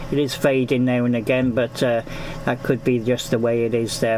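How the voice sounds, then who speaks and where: A man with a Gloucestershire accent speaks at a medium pitch in a monotone, flat intonation. Background noise is noticeable. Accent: Gloucestershire, Forest of Dean. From Gloucestershire, England (Newent). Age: 50s. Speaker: amateur radio operator. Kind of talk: ham radio contact. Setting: amateur radio transmission. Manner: hesitant, many fillers.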